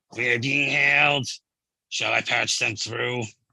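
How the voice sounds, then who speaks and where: A man speaks in a raspy, put-on character voice. His pitch is medium and his pace fairly slow. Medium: read story.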